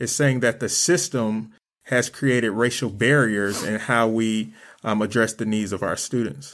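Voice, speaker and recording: In a very clean recording with a silent background, a man with an American accent and a plain, everyday voice speaks at a medium pitch and a fairly slow pace. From Flint, Michigan, US. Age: young. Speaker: youth development coordinator and nonprofit founder. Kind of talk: panel discussion.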